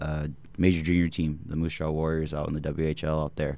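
A man's very deep, low voice at a moderate pace, with monotone, flat intonation. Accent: American. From Bakersfield, California. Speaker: former hockey player, guest. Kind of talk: casual interview chat.

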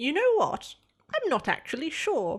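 In a put-on character voice, a woman speaks at a high pitch and a fairly slow pace, with very wide pitch swings.

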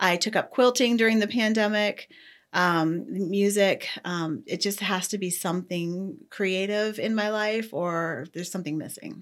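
In an American accent, an ordinary speaking voice moves at a fairly slow pace with ordinary pitch variation over a very clean recording with a silent background. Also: woman, medium pitch for a woman. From Ohio. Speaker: judge. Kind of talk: interview.

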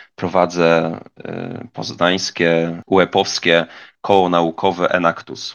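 Against a quiet background, a man with a very deep, low pitch speaks at a very slow pace in monotone, flat intonation. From Poland, Greater Poland (near Poznań). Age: 20s. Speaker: university student. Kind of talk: podcast monologue.

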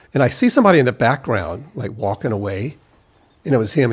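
In a very clean recording with a silent background, a man with an American accent speaks at a medium pitch, his voice somewhat breathy. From US South, South Carolina. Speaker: recording engineer. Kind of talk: casual chat. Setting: studio.

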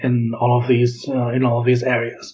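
A man with a Catalan accent speaks at a moderate pace. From Catalonia, Girona. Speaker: linguistics PhD researcher. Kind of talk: interview. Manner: halting.

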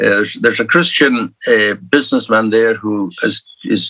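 In a Scottish Highland accent, a man speaks at a moderate pace, the sound dry and close with no echo. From Scottish Highlands. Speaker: minister and church leader. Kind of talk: interview.

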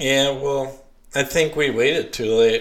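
The man's accent is Southern US. He keeps his intonation fairly even. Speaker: podcast host. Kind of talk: casual chat. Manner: filler-heavy, hesitant.

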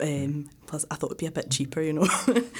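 A woman talks at a very fast pace with a Glaswegian accent. Her pitch is very deep and low. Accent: Glaswegian Scottish. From Scotland, Glasgow. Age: 30s. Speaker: exchange student. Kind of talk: interview.

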